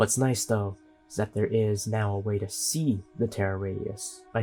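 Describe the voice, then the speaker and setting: A man's fairly low voice comes over music playing in the background. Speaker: gaming content creator. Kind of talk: game tutorial voiceover.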